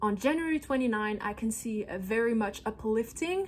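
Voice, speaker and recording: A woman with a non-native accent and a fairly high pitch speaks at a moderate pace. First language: not English. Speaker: holistic astrologer. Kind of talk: astrology forecast monologue. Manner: animated.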